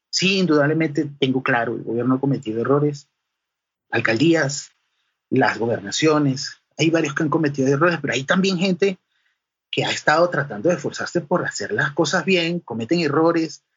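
Somewhat breathy and fairly high-pitched for a man, he keeps a moderate pace with ordinary pitch variation. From Venezuela, Caracas and the llanos (Guárico). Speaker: sound engineer. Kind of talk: interview.

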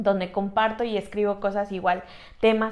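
A woman's fairly high-pitched voice. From Mexico, Tlaxcala. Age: 20s. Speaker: podcast co-host, church youth worker. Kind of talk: casual chat. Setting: small room, seated together.

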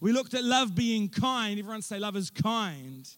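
At a fairly slow pace, a man speaks at a high pitch. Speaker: pastor. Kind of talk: sermon. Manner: casual, animated.

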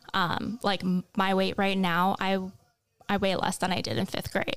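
There's vocal fry in this woman's voice. She speaks at a moderate pace in an Upper Midwest accent. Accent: Upper Midwest American. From US Midwest, North Dakota (Kindred, near Fargo). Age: 20s. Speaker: college student. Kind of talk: casual chat.

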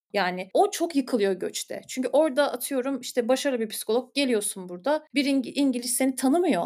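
A woman with a high pitch and a dark, mellow tone speaks with lively intonation. Her pace is moderate, with hardly any pauses. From Istanbul, Turkey. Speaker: clinical psychologist. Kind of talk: podcast interview.

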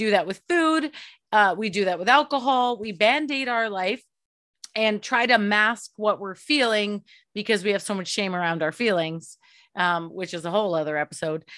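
With a bright, sharp tone and lively intonation, a woman speaks at a medium pitch and a moderate pace on a very clean recording with a silent background. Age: 30s. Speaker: podcast host. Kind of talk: interview conversation.

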